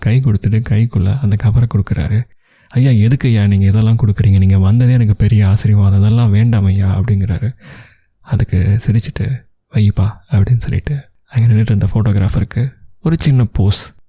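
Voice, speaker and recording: A man speaks in a calm, somewhat breathy voice with a fairly low pitch. His tone is dark and mellow, and his intonation is fairly even. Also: very even loudness. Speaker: radio jockey, storyteller. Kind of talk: emotional audio story narration. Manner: calm, conversational storytelling.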